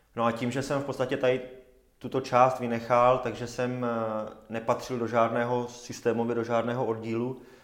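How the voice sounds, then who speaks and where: Room echo is audible as a man speaks at a medium pitch. His intonation is monotone and flat. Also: moderate pace. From Czechia, Zábřeh (Olomouc region). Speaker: semi-professional triathlete. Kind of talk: casual interview. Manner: halting, many fillers.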